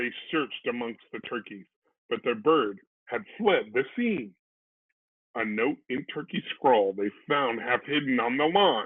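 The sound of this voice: A man at medium pitch with a slightly husky edge, lively intonation, and a fairly slow pace.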